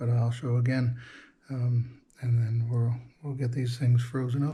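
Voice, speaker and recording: Quiet and somewhat breathy, a man speaks at a medium pitch with a dark, mellow tone. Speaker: fishing channel host. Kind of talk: casual outdoor vlog narration. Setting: outdoors at night on a boat. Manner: animated.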